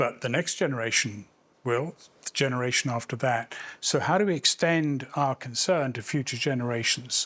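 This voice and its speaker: The recording is very clean, with a silent background. A man with a bright, sharp tone and a medium pitch talks at a moderate pace with ordinary pitch variation. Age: 70s. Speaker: public health professor, keynote speaker. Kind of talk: keynote lecture.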